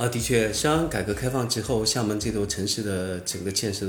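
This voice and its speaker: Somewhat breathy and fairly low in pitch, a man speaks at a moderate pace with ordinary pitch variation in a room with audible echo. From southern Fujian (Minnan), China. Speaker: former online forum writer and entrepreneur. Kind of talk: casual interview conversation.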